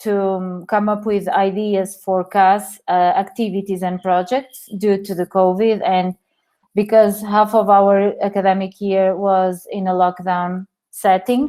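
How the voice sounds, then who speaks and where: A woman with a Portuguese accent speaks at a medium pitch in a dark, mellow tone. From Portugal. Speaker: teacher. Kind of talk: webinar presentation. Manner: halting, many fillers.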